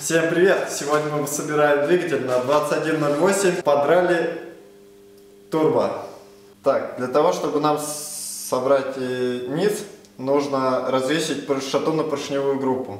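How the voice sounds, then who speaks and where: With audible room echo around him, a man talks at a very slow pace with ordinary pitch variation. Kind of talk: casual tutorial vlog. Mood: relaxed, laughing. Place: garage. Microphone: camera far.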